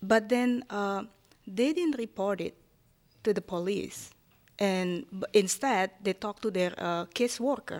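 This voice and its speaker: The speech moves at a fairly slow pace in an Indonesian accent. Pitch variation is ordinary. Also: woman, medium pitch for a woman. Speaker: city hall liaison to immigrant community. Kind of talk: panel discussion. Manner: halting.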